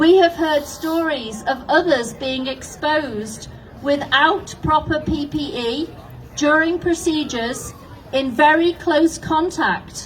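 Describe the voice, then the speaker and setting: A woman speaks at a very slow pace and a high pitch with a confident, passionate tone. Her pitch varies in an ordinary way against noticeable background noise. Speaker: nurse. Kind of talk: prepared public statement.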